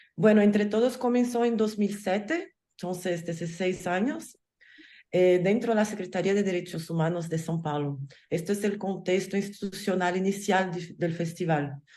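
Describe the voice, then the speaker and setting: A woman with a Portuguese accent, medium pitch, ordinary pitch variation, a dark, mellow tone and a moderate pace. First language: Portuguese (speaking Spanish). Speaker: film festival curator. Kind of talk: panel talk. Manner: halting.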